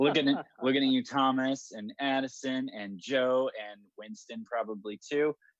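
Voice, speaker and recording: A man speaks at medium pitch. The sound is dry and close, with no echo. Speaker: meetup co-organizer. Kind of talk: casual chat. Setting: video call. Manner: loud.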